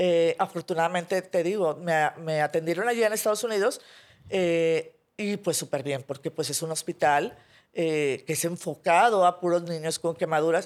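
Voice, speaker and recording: A woman's fairly low voice at a moderate pace, on a very clean recording with a silent background. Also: ordinary pitch variation. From Mexico, Monterrey. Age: 40s. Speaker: graphic designer and burn survivor. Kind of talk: interview testimony. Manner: hesitant, many fillers.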